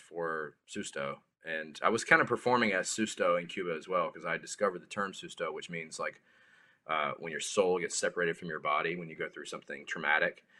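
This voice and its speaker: Speaking with a South Carolina accent, a man moves along at a fairly quick pace. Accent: Southern US (South Carolina). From US South, rural South Carolina. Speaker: musician. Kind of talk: casual chat. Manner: halting, repeats words.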